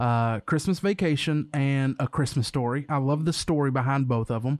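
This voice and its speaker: Recorded with a dry, close sound and no echo, a man has an unremarkable speaking voice, a fairly high pitch, ordinary pitch variation and a moderate pace. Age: 30s. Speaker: podcast co-host. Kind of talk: casual chat.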